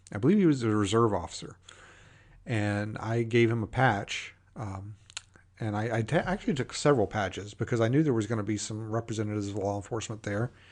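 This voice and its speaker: Speaking at a very fast pace, a man uses a fairly low voice with ordinary pitch variation. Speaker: podcast host. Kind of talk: casual podcast monologue. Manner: casual, with many fillers.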